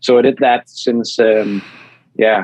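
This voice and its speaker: A man speaks with a Danish accent. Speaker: EV YouTuber. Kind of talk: podcast interview.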